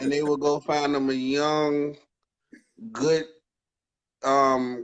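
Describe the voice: A man's fairly high voice at a very slow pace, with little pitch movement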